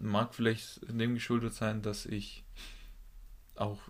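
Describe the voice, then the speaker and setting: A man speaks at a fairly slow pace. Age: 20s. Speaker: physiotherapy trainee and podcast co-host. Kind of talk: casual chat.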